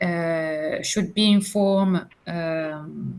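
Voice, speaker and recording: Speaking with a French accent, a woman uses ordinary pitch variation. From France. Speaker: business communication student. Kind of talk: online class discussion. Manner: hesitant, many fillers.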